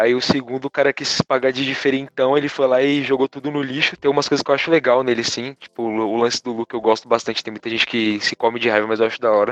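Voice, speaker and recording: Speaking in an unremarkable speaking voice at a fairly quick pace, a man keeps a medium pitch with ordinary pitch variation in a dry, close sound with no echo. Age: 20s. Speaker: podcast guest. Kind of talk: casual chat.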